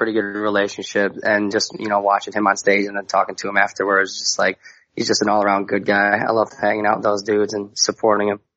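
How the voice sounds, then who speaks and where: With an American accent, a man speaks fairly quickly in a fairly low pitch. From Wisconsin, US Midwest. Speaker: metal band singer. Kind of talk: casual interview.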